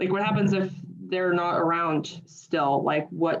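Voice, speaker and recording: An unremarkable speaking voice with an American accent. The intonation stays fairly even. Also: woman. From US. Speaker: audience member, university student or researcher. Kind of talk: audience question.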